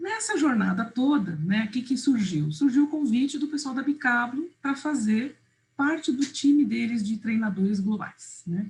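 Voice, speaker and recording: A woman speaks in a high voice at a fairly slow pace. Her intonation is lively. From Uruguay, raised in Brazil. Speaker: visual facilitation trainer. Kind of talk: online workshop presentation.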